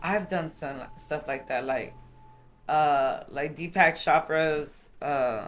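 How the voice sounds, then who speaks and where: A woman with a very deep, low pitch at a very slow pace, amid noticeable background noise. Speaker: podcast co-host. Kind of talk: casual chat. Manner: monotone.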